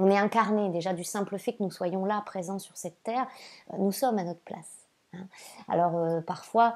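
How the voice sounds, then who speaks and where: This woman has a dark, mellow tone at medium pitch. She moves at a moderate pace with ordinary pitch variation. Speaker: spiritual guide and oracle card reader. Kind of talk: oracle card reading monologue to viewers. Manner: hesitant, frequent fillers and repeated words; warm and gentle.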